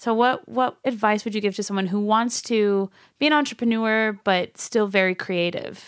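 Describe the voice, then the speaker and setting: On a very clean recording against a silent background, a woman speaks at a moderate pace. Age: 20s. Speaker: podcast host. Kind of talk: casual chat. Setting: studio. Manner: animated.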